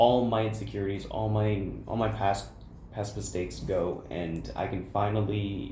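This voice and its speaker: Audible room echo carries a man's somewhat breathy, fairly low-pitched voice. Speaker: college student podcaster. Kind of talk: casual chat. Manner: stuttering.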